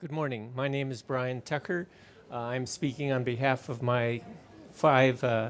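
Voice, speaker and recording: A man speaks at a fairly slow pace with a medium pitch and fairly even intonation. The recording is very clean, with a silent background. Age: 60s. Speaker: earthquake and tsunami scientist. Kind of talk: conference talk. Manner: halting.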